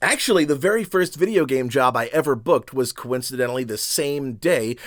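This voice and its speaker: Ordinary pitch variation runs through an ordinary speaking voice delivered at a moderate pace. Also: man. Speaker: voice actor. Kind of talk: casual talk to camera.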